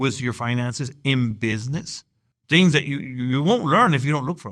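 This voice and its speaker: A man with an American accent talks at a fairly quick pace, his loudness swinging widely. His medium-pitched voice has ordinary pitch variation. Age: 60s. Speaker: evangelist and business owner. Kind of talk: interview. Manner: halting.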